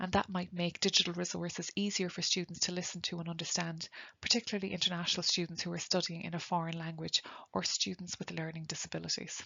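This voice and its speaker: A woman with an Irish accent, fairly low pitch and vocal fry, very fast pace and monotone, flat intonation. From Ireland. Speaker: nursing lecturer. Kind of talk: webinar lecture.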